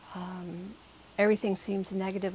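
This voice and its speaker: A woman speaks in a plain, everyday voice at medium pitch. Her pace is moderate. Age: 60s. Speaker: patient. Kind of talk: testimony.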